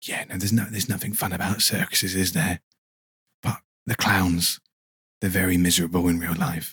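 This man has a very deep, low pitch and a fairly even intonation. He talks at a fairly quick pace, broken by long, frequent pauses. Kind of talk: casual chat. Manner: soft-spoken.

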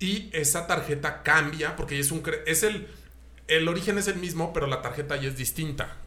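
A man at a fairly high pitch and moderate pace, with ordinary pitch variation, audible room echo and noticeable background noise. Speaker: car podcast host. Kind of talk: casual chat.

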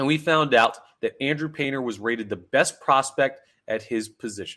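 A man with a bright, sharp tone and ordinary pitch variation speaks at a moderate pace on a very clean recording with a silent background. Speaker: sports podcast host. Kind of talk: solo sports talk podcast.

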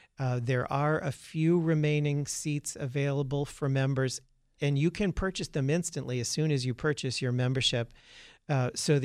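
This man has an ordinary speaking voice at a medium pitch, with fairly even intonation and a moderate pace. The recording is very clean, with a silent background. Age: 50s. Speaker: museum representative. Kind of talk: radio interview.

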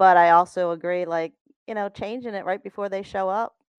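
A woman with an American accent talks at a moderate pace in a fairly low voice, an ordinary speaking voice with fairly even intonation, recorded dry and close with no echo over a quiet background. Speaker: co-host. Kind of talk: casual chat.

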